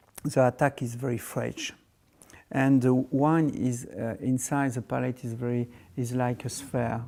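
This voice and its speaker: In a very clean recording with a silent background, a medium-pitched man with a French accent speaks fairly slowly in a dark, mellow tone with fairly even intonation. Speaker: winemaker. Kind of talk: interview. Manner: halting.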